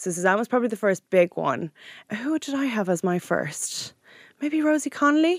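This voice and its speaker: In a dry, close sound with no echo, a woman speaks with an Irish accent at a moderate pace. Her fairly high voice swings very widely in pitch. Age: 30s. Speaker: magazine editor. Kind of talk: casual chat. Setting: studio.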